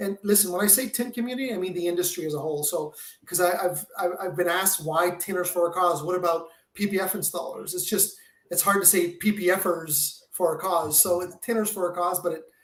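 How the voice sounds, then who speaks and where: In a Quebec accent, a man speaks at a high pitch and a fairly quick pace with fairly even intonation. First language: French. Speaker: window film territory manager and charity founder. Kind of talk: podcast interview. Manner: halting, many repetitions and fillers.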